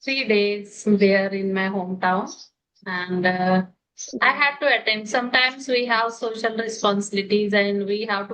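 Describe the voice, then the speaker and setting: A woman with an Indian accent, medium pitch, fairly even intonation and a moderate pace. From India, Maharashtra. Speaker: homemaker, English learner. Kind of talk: casual chat. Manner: halting.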